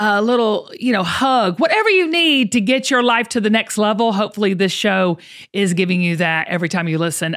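With a Southern US accent, a woman talks at a moderate pace in an energetic tone with lively intonation against a quiet background. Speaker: podcast host. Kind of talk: casual podcast talk. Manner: energetic, motivational. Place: home room. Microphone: studio mic.

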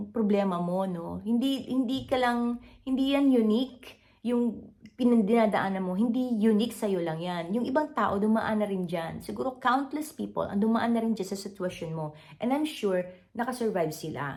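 Her intonation is lively. The woman's voice comes across as somewhat breathy. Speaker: content creator. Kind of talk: motivational talk to camera. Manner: halting, frequent fillers.

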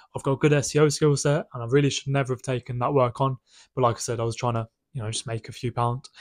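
Very fast and flat in a monotone, a man speaks in a dry, echo-free recording with a quiet background. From UK. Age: 20s. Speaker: business owner vlogger. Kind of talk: casual vlog monologue. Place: home room. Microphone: phone near.

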